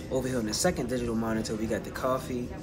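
Loud background noise runs under a man's speech. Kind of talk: casual vlog chat. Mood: proud, relaxed. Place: cafe. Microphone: phone near.

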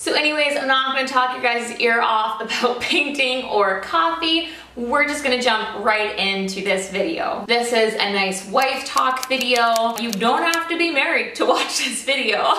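A woman talks high with lively intonation and hardly any pauses. Light background noise and audible room echo come through. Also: moderate pace. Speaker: lifestyle vlogger. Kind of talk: casual vlog chat. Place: home room. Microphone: camera far.

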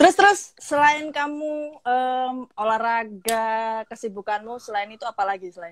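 An ordinary speaking voice moves at a moderate pace with hardly any pauses. The intonation is lively. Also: woman, fairly high pitch for a woman. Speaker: live stream host. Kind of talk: casual interview over Instagram Live. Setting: Instagram live video call.

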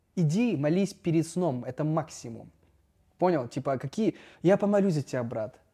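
This man has a fairly high pitch, a dark, mellow tone and lively intonation, talking at a moderate pace with long, frequent pauses. The background is quiet. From Russia, Noyabrsk (Yamal, northern Siberia); Russia. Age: 30s. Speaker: startup founder and influencer; podcast guest. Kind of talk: casual chat. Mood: reflective, candid. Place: hall. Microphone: lapel.

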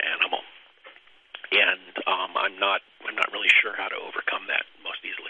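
A man's fairly quick speech in a General American accent, over noticeable background noise. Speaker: professor. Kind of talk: lecture. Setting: webinar. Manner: halting.

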